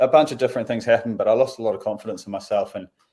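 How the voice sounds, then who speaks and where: A man with a New Zealand accent. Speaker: professional footballer. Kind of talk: interview. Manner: casual, with many fillers.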